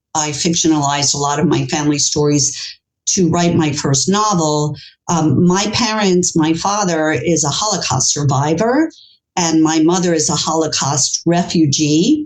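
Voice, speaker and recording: A woman with a New York accent, very deep, low pitch, ordinary pitch variation and a moderate pace. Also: very even loudness. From US, New York City. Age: 60s. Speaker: author. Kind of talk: interview.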